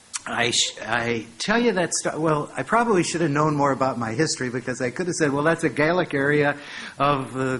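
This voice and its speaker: Over noticeable background noise, a man with a fairly high pitch and an American accent speaks at a moderate pace with ordinary pitch variation. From United States (St. Louis). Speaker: professor. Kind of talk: lecture.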